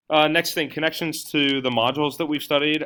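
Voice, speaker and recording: A man talking at a very fast pace. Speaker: teacher presenting coursework. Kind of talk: recorded class presentation. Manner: hesitant, many filler words.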